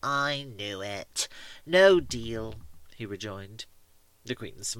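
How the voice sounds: Someone reads a passage aloud. The delivery is a natural reading voice.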